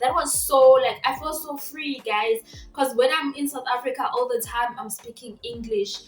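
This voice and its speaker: Over music in the background, a woman with a Zimbabwean accent talks at a moderate pace in a high pitch. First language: Shona. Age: 20s. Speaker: vlogger. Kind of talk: casual vlog talk. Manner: animated.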